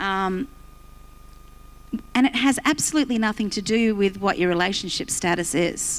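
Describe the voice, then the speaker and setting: In an Australian accent, a woman is talking. Her pitch varies in an ordinary way. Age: 60s. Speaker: pastor. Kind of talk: sermon.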